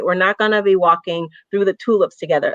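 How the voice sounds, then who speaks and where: A woman's medium-pitched voice with an American accent, dry and close with no echo. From US South. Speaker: racial justice activist, panelist. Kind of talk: online panel discussion. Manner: impassioned, frequent repetitions.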